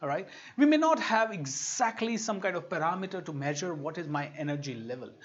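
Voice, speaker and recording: A man talks in an animated tone with an Indian accent. His pitch is high and his pace fairly quick. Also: lively intonation. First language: Hindi. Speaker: motivational speaker. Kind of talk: online workshop talk.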